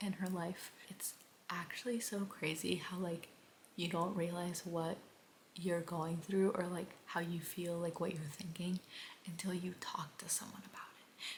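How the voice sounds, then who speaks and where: Soft-spoken, monotone, flat delivery at a fairly slow pace. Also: woman. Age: 20s. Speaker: book vlogger. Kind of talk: casual vlog talk. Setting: at home at night.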